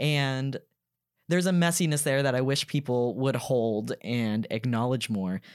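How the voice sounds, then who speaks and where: An unremarkable speaking voice from a man with an American accent, medium in pitch with ordinary pitch variation, at a fairly slow pace and very even loudness, on a very clean recording with a silent background. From US South, Georgia (Gwinnett County, Duluth). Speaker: podcaster and former grad assistant. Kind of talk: casual chat.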